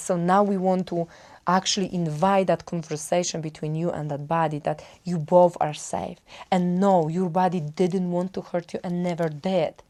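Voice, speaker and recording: In a Polish accent, a woman speaks at a moderate pace with a fairly low pitch, a dark, mellow tone and fairly even intonation. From Poland. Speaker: wellbeing coach. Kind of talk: self-help talk. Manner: halting.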